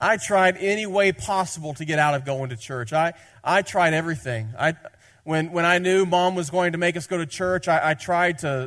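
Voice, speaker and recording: With a Southern US accent, a man talks at a fairly quick pace and a fairly high pitch. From Tennessee. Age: 30s. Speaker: pastor. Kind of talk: sermon. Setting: church.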